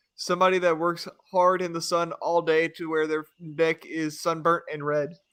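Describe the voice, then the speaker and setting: The recording is very clean, with a silent background. The speech, in an American accent, moves at a moderate pace. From US South. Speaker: podcast guest. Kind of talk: casual chat.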